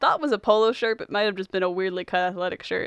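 A woman talks with fairly even intonation. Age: young. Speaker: podcast host. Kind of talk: casual chat; plot recap. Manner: loud.

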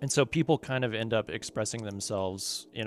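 A man with an American accent speaks at a fairly quick pace in an unremarkable speaking voice with ordinary pitch variation, recorded very cleanly against a silent background with a dry, close sound and no echo. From Kentucky, US. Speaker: visual artist and musician. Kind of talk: casual interview.

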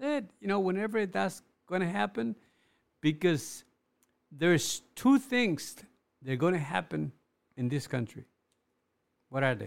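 A man with a Spanish accent speaks at a fairly slow pace in a high voice, his pitch swinging very widely, with long, frequent pauses. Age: 60s. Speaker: clothing business owner. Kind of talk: casual interview. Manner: halting, repeats words.

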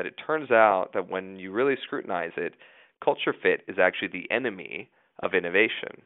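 A man with an American accent at a fairly quick pace, with big swings in loudness. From US West, southeast Idaho. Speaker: journalist and author. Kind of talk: interview.

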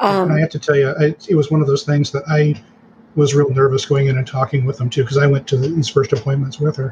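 At a very fast pace, a somewhat breathy voice keeps a fairly even intonation. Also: man, fairly high pitch for a man. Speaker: guest, cancer patient's husband and caregiver. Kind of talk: casual interview.

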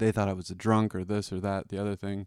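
A man with an American accent talks at a very fast pace with fairly even intonation. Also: very clean recording, silent background. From Boston area, Massachusetts. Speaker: recovering alcoholic. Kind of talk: testimony. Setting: recording at a home.

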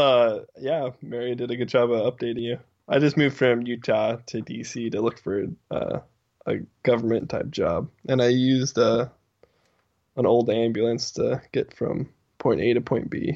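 A man of medium pitch talks at a moderate pace with fairly even intonation in a normal speaking voice. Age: 20s. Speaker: podcast guest. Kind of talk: casual chat. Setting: video call.

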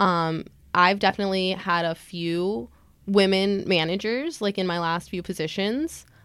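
With a normal speaking voice, a woman talks at a fairly low pitch and fairly even intonation in a very clean recording with a silent background. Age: 20s. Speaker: blogger and tech recruiter. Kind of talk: casual interview.

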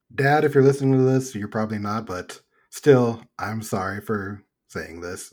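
On a very clean recording with a silent background, a man speaks in an ordinary speaking voice at a moderate pace with ordinary pitch variation. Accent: American. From Texas. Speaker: podcast host. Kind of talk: casual chat.

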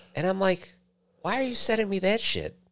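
The recording is very clean, the background silent. A man talks at a moderate speed. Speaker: podcast co-host. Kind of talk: casual chat.

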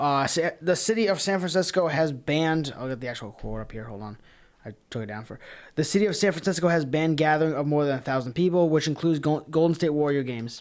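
A very fast delivery in an American accent, on a very clean recording with a silent background. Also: man, fairly high pitch for a man, ordinary pitch variation. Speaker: podcast co-host. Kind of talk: casual banter podcast chat.

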